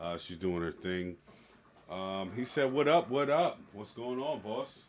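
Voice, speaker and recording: At a fairly slow pace, a man of medium pitch speaks with very wide pitch swings and big swings in loudness. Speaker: podcast host. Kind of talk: casual chat.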